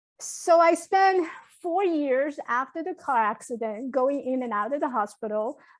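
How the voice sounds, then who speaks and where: A woman talks at a moderate pace with a Chinese accent. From Taiwan, moved to New York at 15. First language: Mandarin Chinese. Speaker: motivational speaker and coach. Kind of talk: podcast interview. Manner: halting.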